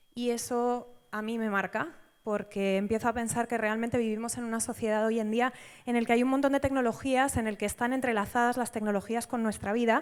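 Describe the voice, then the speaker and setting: A woman speaks at a fairly quick pace with a Spanish accent. Her fairly high voice sits on a very clean recording with a silent background. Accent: Spanish (Spain). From Spain. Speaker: data science institute director, conference speaker. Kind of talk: conference talk. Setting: stage at a conference with audience. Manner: frequent fillers (em, eh).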